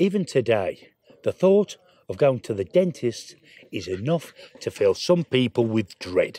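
A man's dark, mellow voice at a fairly slow pace, with very wide pitch swings and a dry sound with no echo. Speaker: medieval surgeon reenactor. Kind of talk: educational presentation to camera. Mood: jovial, mock-grim storytelling. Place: tent.

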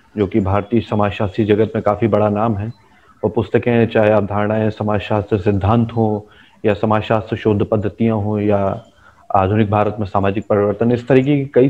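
The man's voice sits fairly low, holding a monotone, flat intonation at a moderate speed. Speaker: sociology channel host, interviewer. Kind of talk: interview introduction to camera. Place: home room. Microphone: video call.

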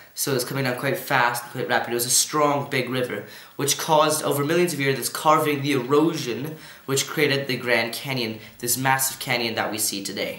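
A man talks at a fairly quick pace with fairly even intonation, and audible room echo surrounds his voice. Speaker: presenter. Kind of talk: educational lesson. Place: home room.

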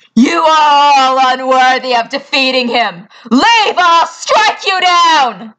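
A female-sounding put-on character voice, high in pitch, at a fairly slow pace. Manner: grim, proud, menacing.

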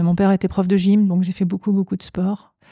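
Close and dry with no echo, a woman's somewhat breathy voice of medium pitch and dark, mellow tone holds a monotone, flat intonation on a very clean recording with a silent background. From France, Savoie. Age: 50s. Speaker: business executive. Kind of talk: interview.

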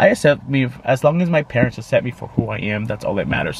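Very wide pitch swings mark this man's speech. The sound is dry with no echo, and there is light background noise. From Arizona, US (Tolleson), Mexican-American family. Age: 20s. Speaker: YouTube vlogger. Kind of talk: casual vlog monologue, code-switching English and Spanish. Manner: hesitant, many fillers. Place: car. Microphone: phone near.

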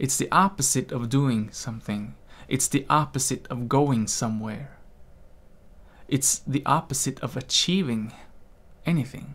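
A man speaks with ordinary pitch variation in a soothing, gentle tone. Long, frequent pauses punctuate his speech. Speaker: meditation teacher. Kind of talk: guided meditation, calm instructional talk. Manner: slow, soothing, gentle. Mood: calm, gentle, reflective. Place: home room. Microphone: studio mic.

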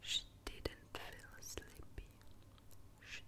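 A soft-spoken woman's whisper at a very slow pace. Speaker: reader. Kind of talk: soft repeated phrases, whisper-like reading. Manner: soft close-mic ASMR whisper. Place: home room. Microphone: studio mic.

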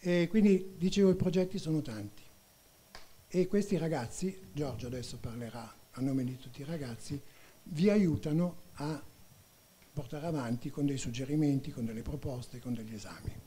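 At a moderate pace, a somewhat breathy voice with a dark, mellow tone and lively intonation speaks with long, frequent pauses. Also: man, fairly high pitch for a man. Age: old. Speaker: cinema volunteer; event host or organizer. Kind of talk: interview. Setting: stage with audience. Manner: halting. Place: hall. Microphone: handheld.

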